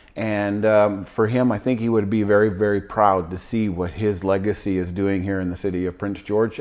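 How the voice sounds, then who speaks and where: An ordinary speaking voice at a fairly quick pace. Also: man. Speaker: real estate agent. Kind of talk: casual interview chat.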